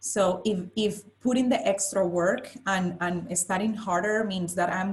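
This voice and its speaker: A woman speaks at a medium pitch with a strong Spanish accent. Her intonation stays fairly even. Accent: thick Spanish. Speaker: finance professional, panelist. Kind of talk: panel discussion. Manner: halting, repeats words.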